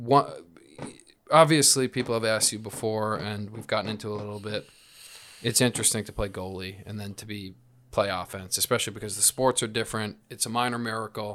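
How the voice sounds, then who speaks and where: At a fairly quick pace, a man with a normal speaking voice talks at a fairly low pitch with fairly even intonation. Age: 30s. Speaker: podcast host and lacrosse player. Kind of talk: casual chat.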